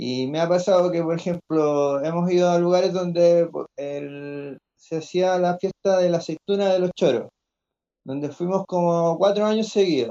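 A man talks at a fairly slow pace with a dark, mellow tone. His pitch is high for a man, with ordinary variation. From Chile, Coquimbo region. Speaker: seed network organizer, grower. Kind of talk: video call conversation panel.

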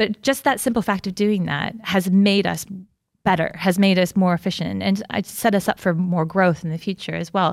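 A woman speaks at a moderate pace in a medium pitch, with a normal speaking voice and fairly even intonation, on a very clean recording with a silent background. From United States. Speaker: creative business consultant. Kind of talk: casual chat.

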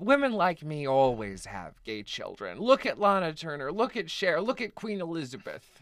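A man with an American accent speaks at a moderate pace with hardly any pauses. His high voice swings very widely in pitch and shows big swings in loudness. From US South, East Texas. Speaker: author. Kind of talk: interview.

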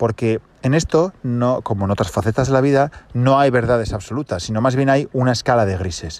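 A man with a plain, everyday voice talks at a fairly quick pace, his medium pitch rising and falling in an ordinary way. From Asturias, Spain. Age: 30s. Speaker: podcast host. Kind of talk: casual monologue. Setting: in a car.

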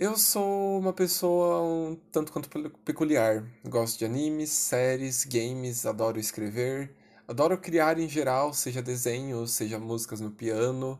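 A man with an ordinary speaking voice, medium in pitch and fairly slow, with lively intonation, on a very clean recording with a silent background. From Brazil, São Paulo city. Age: 20s. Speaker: writer and witchcraft enthusiast. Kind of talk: casual interview.

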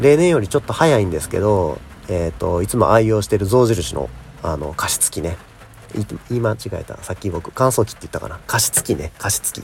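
A fairly low-pitched man with lively intonation at a fairly quick pace, over noticeable background noise. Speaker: podcaster and YouTuber. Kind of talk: casual solo talk. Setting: recording outdoors in rain.

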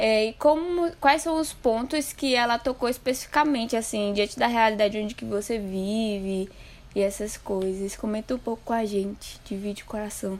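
A woman with a normal speaking voice talks at a fairly slow pace in a fairly high pitch with ordinary pitch variation. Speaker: podcast host. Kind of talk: casual podcast interview.

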